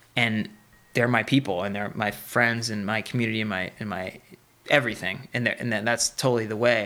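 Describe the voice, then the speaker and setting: With an American accent and a normal speaking voice, a man talks at a fairly quick pace in a medium pitch with fairly even intonation. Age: 30s. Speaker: professional rock climber. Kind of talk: casual interview.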